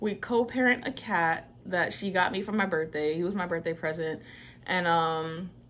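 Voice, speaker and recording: An unremarkable speaking voice from a woman with a fairly low pitch, ordinary pitch variation and a moderate pace. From New York, partly raised in Georgia. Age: 20s. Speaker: vlogger. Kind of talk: casual personal storytelling vlog. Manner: casual, conversational.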